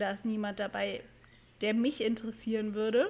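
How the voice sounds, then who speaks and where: A fairly high, somewhat breathy female voice at a fairly quick pace. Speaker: podcast co-host. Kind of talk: casual chat. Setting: recording while lying down.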